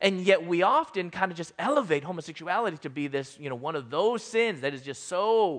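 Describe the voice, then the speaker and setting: Very wide pitch swings in an American accent against a quiet background. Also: man. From US Midwest, Chicago suburbs. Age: 40s. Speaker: guest speaker. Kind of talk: sermon.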